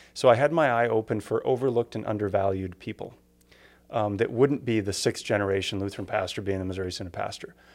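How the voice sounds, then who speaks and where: This man has an unremarkable speaking voice, fairly low in pitch, with an American accent. He talks at a fairly quick pace on a very clean recording with a silent background. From Upper Peninsula of Michigan. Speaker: pastor. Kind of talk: casual chat.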